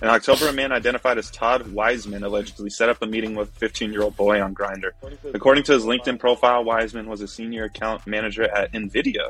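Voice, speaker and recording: Over noticeable background noise, a man talks very fast at medium pitch with fairly even intonation. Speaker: podcast host. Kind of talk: casual banter.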